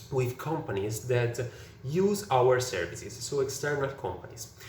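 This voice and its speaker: In an Italian accent, a man speaks at a fairly slow pace with lively intonation, amid noticeable background noise and audible room echo. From Italy. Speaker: software engineer. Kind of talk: prepared presentation. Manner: halting, many fillers.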